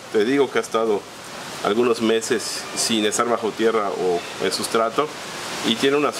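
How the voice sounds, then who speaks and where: Male speech at a moderate pace with fairly even intonation and noticeable background noise. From Yucatán, Mexico. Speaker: plant grower and channel host. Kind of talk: tutorial. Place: garden.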